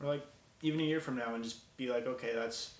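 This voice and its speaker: A man of medium pitch speaks with an American accent amid noticeable background noise and audible room echo. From Minnesota (Bemidji). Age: 20s. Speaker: college student, video maker. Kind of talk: vlog monologue and street interviews. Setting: outdoors in a city. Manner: casual, unscripted.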